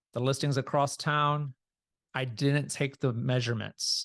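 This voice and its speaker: A normal speaking voice with fairly even intonation keeps a moderate pace, in a dry, close sound with no echo over a quiet background. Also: man. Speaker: real estate agent trainer. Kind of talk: training session. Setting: video call.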